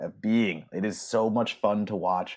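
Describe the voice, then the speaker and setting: A man speaks in an unremarkable speaking voice. His pitch is fairly low, and his intonation fairly even. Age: 30s. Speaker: horror film writer and podcaster. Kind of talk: casual chat.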